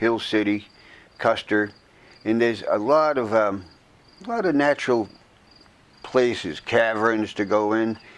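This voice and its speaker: Over noticeable background noise, a man talks at a fairly slow pace with medium pitch and ordinary pitch variation. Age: 70s. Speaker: long-distance motorcycle rider. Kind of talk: interview. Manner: halting.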